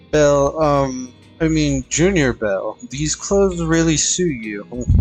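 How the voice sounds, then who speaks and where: The speech moves at a very slow pace. Music can be heard in the background. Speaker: streamer. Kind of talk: reading aloud game dialogue on live stream. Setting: live stream. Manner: halting, stumbles over words.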